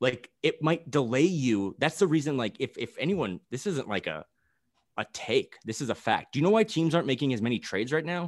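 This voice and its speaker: A man's fairly high voice with vocal fry and very wide pitch swings, at a fairly quick pace, dry and close with no echo over a quiet background. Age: 30s. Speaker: basketball podcast guest. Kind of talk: casual chat.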